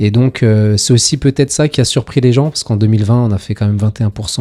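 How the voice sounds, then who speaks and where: A man's dark, mellow tone with fairly even intonation, in a dry, close sound with no echo. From France, Paris suburbs (Seine-Saint-Denis). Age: 40s. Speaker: local politician. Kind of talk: interview. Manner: hesitant, frequent fillers.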